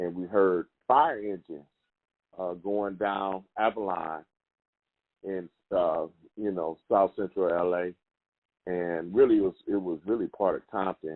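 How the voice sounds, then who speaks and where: A man with an American accent, very deep and low in pitch, at a fairly slow pace with long, frequent pauses and fairly even intonation. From Los Angeles, California. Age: 60s. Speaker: professor and activist. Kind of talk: interview.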